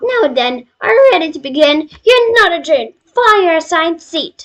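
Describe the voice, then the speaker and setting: A woman puts on a character voice, pitched extremely high and delivered at a moderate pace. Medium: solo performance. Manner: playful, mocking.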